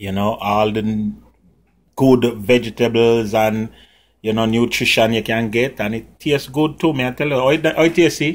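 Speech with a Jamaican accent, ordinary pitch variation and a moderate pace. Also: man. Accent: Jamaican, with patois features. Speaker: cooking channel host and comedian. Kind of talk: cooking tutorial. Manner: casual, chatty. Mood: cheerful, friendly. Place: kitchen. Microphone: phone near.

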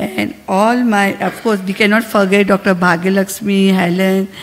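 In an Indian accent, a woman talks at a fairly slow pace with monotone, flat intonation. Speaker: medical society official. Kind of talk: conference speech. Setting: conference hall. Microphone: podium.

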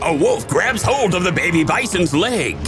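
The voice swings very widely in pitch and moves at a fairly slow pace, with music playing in the background. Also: man. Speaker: narrator. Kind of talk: comedic wildlife documentary narration.

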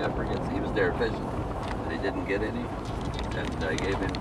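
Loud background noise dominates the clip. A man's voice comes through it. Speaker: local driver guide. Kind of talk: casual conversation. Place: car. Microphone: camera far.

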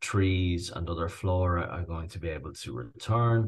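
Speaking fairly slowly with a Dublin accent, a man has a very deep, low pitch and a somewhat breathy sound. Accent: Irish (Dublin). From Dublin, Ireland. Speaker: rewilder, farmer and author. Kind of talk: interview answer.

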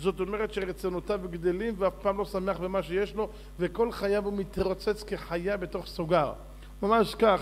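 Monotone, flat intonation marks this man's speech. His voice is high in pitch. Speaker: religious teacher. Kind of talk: sermon. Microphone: podium.

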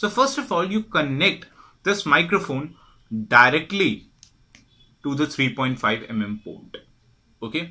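A man talks at a fairly slow pace, his pitch swinging very widely. He leaves long, frequent pauses against a quiet background. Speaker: product support demonstrator. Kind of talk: tutorial. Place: home room.

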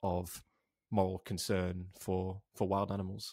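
With a North Welsh accent, a man speaks at a fairly low pitch in a dry, close sound with no echo, on a very clean recording with a silent background. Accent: North Wales. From North Wales, Wrexham. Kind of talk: casual interview chat.

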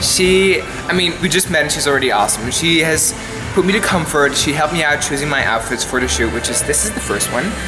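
With clear music playing behind him, a man speaks very fast in a fairly high pitch with ordinary pitch variation. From Belgium. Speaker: actor and model. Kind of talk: casual vlog talk to camera. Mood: cheerful, upbeat. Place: studio. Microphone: phone near.

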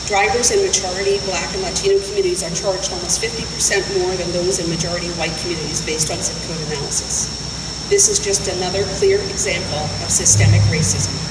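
The pace is very fast. Loud background noise is present. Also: woman. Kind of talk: press conference statement. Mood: serious, advocating. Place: street. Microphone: podium.

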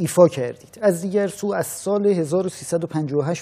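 Ordinary pitch variation shapes the man's speech, which has a dark, mellow tone. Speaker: TV interviewer host. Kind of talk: interview question. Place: studio. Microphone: lapel.

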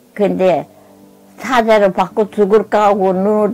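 Faint music lingers behind the voice. A woman talks very slowly. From Korea. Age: 80s+. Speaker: war survivor. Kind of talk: testimony. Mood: grave, insistent. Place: home room. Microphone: lapel.

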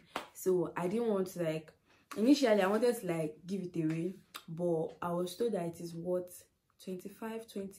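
A normal speaking voice from a woman, fairly low in pitch with ordinary pitch variation. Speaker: vlogger. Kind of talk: casual vlog chat. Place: home room. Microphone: phone near.

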